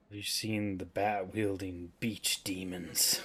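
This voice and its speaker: A man puts on a character voice at a fairly low pitch. He talks fairly slowly in a flat monotone. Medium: game stream. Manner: cryptic, theatrical.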